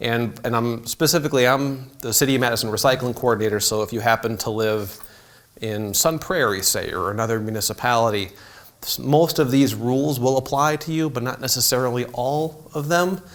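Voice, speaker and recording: Over noticeable background noise, a speaker with an American accent talks at a fairly quick pace with ordinary pitch variation. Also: man, medium pitch for a man. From southern Illinois, St. Louis area. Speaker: city recycling coordinator. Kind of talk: public talk. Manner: casual, many fillers.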